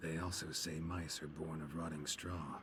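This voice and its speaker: Over clear background noise, a man puts on a character voice with a very deep, low pitch and a deadpan tone. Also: moderate pace. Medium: video game. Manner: terse, deadpan, dry.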